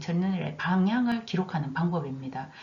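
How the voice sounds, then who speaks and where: The talking proceeds at a moderate pace. Audible room echo and noticeable background noise surround it. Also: woman. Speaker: nursing instructor. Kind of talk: recorded online lecture.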